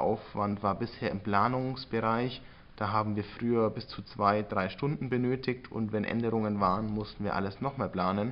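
A man in a normal speaking voice talks at a fairly low pitch and moderate pace with fairly even intonation. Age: 20s. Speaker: entrepreneur, sales expert. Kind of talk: interview.

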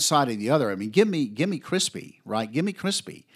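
On a very clean recording with a silent background, a man with an American accent talks at a fairly quick pace, his pitch swinging very widely. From US South. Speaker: podcast host. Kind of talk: casual monologue. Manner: animated.

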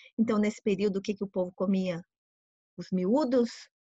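Dry, close sound with no echo, carrying a woman's somewhat breathy, dark, mellow voice at medium pitch, moderate pace and ordinary pitch variation. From Brazil. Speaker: tour guide and translator. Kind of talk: informal interview.

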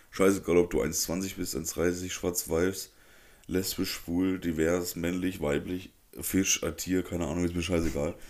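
A man's very deep, low voice in a monotone, flat intonation at a moderate pace, on a very clean recording with a silent background. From Germany, Upper Franconia (Neustadt bei Coburg). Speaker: podcast host. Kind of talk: casual chat.

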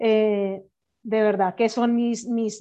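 A woman's fairly high-pitched voice against a quiet background. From Colombia. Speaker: entrepreneur and podcaster. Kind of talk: casual chat.

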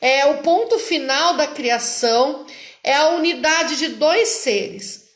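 Very slowly, a woman speaks at a high pitch with very wide pitch swings, her voice carrying audible room echo. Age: 40s. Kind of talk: religious teaching talk. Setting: online live stream.

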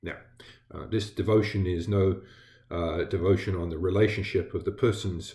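A somewhat breathy voice with an American accent. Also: man. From England. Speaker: Lutheran pastor. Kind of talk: devotional sermon. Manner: halting, with fillers.

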